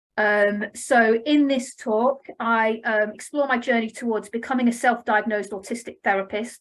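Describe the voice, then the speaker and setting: A woman with an English accent and a fairly high pitch. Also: fairly even intonation. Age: 40s. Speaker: family therapist. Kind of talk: conference presentation. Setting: online conference. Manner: fast; scripted reading.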